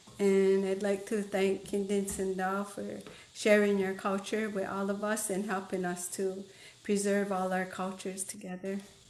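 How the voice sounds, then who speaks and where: Audible room echo around a woman at medium pitch speaking at a fairly slow pace. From Akwesasne, Mohawk Nation. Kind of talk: land acknowledgement.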